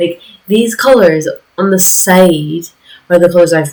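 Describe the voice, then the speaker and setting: The woman's voice is fairly low in pitch with ordinary pitch variation. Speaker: art hobbyist video creator. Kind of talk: casual voiceover over art process video. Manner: voice drops lower as video goes on; rambling, hesitant with fillers.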